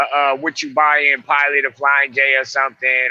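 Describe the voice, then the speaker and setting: A man speaks with an American accent in a bright, sharp tone at a fairly high pitch. The sound is dry and close, with no echo. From US West Coast, Oakland, California. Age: 60s. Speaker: truck driver and personal trainer. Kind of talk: casual chat.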